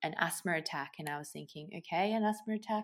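A woman talks with an Australian accent and ordinary pitch variation. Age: 20s. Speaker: paramedic. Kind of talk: interview.

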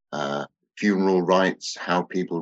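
Recorded dry and close with no echo, a man speaks with a very deep, low pitch. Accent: British. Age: 60s. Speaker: author and theosophist. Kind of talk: interview.

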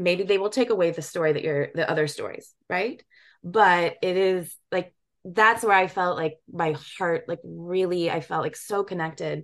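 Against a quiet background, a woman with a plain, everyday voice speaks at a moderate pace, fairly low in pitch and fairly even in intonation. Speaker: documentary filmmaker. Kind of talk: interview.

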